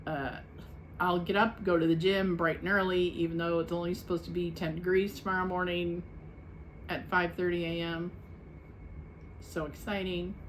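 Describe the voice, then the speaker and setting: In a room with audible echo, a woman speaks in a monotone, flat intonation with long, frequent pauses. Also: fairly low pitch for a woman, moderate pace. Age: 60s. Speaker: weight-loss vlogger. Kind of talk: casual vlog check-in. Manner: casual, chatty.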